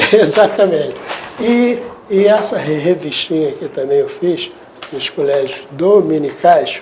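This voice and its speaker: A man's high-pitched, lively voice at a fairly slow pace, with noticeable background noise. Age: 70s. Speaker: journalist and composer, TV producer. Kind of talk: interview.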